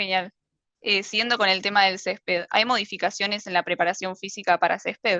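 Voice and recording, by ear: The voice has a bright, sharp tone and little pitch movement. It moves at a moderate pace, and the sound is dry and close with no echo. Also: woman, medium pitch for a woman.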